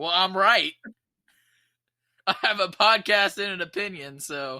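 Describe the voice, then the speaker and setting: Using a raised, projected voice, a man speaks at a fairly slow pace in a high pitch with a bright, sharp tone and ordinary pitch variation. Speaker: sports podcast co-host. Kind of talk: casual chat. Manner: loud.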